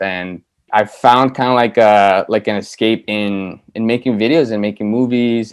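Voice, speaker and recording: With a Spanish accent, a man speaks at a fairly low pitch. His pace is moderate and his intonation fairly even. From South Florida, born in Colombia. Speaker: TV writer. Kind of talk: interview. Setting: video call. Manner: rambling, casual.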